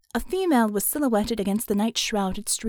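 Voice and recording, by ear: A passage read aloud in a natural voice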